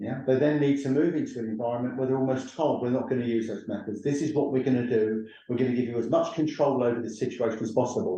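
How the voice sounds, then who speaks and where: A man talks at a very fast pace in a dark, mellow tone. Audible echo fills the room. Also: medium pitch for a man, ordinary pitch variation. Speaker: professor and training organisation CEO. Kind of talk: webinar lecture. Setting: online webinar with screen share. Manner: loud.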